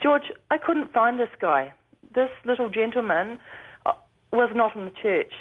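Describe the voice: In a New Zealand accent, the speaker uses lively intonation at a fairly slow pace. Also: woman, fairly high pitch for a woman.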